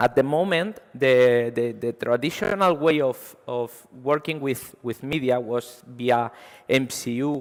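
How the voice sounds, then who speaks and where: Speaking very slowly with a Spanish accent, a man uses a medium pitch and ordinary pitch variation. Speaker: software engineer. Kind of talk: conference talk. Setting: stage with audience. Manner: halting, many fillers.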